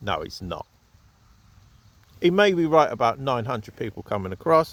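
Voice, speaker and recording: Here a man speaks in a southern English accent. He keeps a fairly quick pace. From southern England, Southampton. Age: 40s. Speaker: vlogger. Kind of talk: casual opinion monologue. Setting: outdoors at an allotment.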